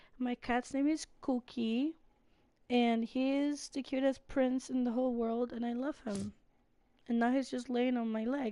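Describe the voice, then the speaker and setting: A woman with a high voice and a dark, mellow tone talks at a fairly slow pace. Her intonation is flat and monotone. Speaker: gaming streamer. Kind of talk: casual gameplay livestream chat. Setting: home livestream, cat on lap. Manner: casual, filler-heavy.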